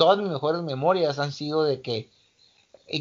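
A man talks at a moderate pace in an unremarkable speaking voice, his pitch fairly high and its variation ordinary. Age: 40s. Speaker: martial arts coach. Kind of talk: casual interview.

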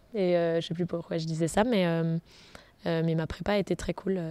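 A woman speaks in a fairly low pitch with a dark, mellow tone and fairly even intonation. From France, south then Picardy (Senlis). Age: 30s. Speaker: entrepreneur. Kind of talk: interview.

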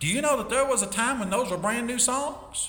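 A man speaks in a raised, projected voice, with audible room echo around him. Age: 50s. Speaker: Sunday school teacher. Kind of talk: Bible lesson. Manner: halting.

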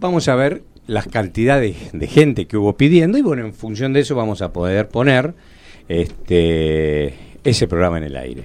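With very wide pitch swings and big swings in loudness, a man of fairly low pitch speaks at a moderate pace. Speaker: radio host and engineer. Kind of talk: radio talk show. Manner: solemn.

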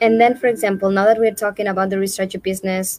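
Against noticeable background noise, a woman speaks at medium pitch with monotone, flat intonation. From Spain. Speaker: webinar host. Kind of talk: interview. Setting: live online stream.

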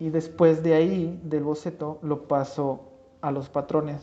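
The man's voice is fairly high in pitch, with a dark, mellow tone. He talks at a moderate pace in a monotone, flat intonation. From Mexico, Huasteca region of San Luis Potosí. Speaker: industrial designer and leather goods maker. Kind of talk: casual interview.

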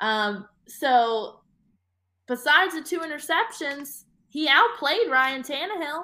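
In a raised, projected voice with an American accent, the speaker moves at a very slow pace with a bright, sharp tone and very wide pitch swings. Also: woman, high pitch for a woman. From Atlanta, US South. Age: 20s. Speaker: TV sports reporter. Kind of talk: casual interview chat.

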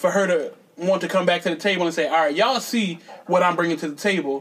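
High male pitch with ordinary variation, noticeable noise in the background. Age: 30s. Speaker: comedian. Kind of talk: casual chat.

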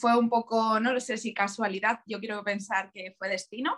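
A woman with a Madrid accent and monotone, flat intonation. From Spain, Leganés (Madrid). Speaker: tattoo artist. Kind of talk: interview.

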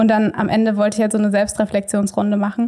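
A woman's medium-pitched, somewhat breathy voice, dark and mellow in tone, with monotone, flat intonation. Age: 20s. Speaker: trainee kindergarten teacher. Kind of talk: casual interview conversation.

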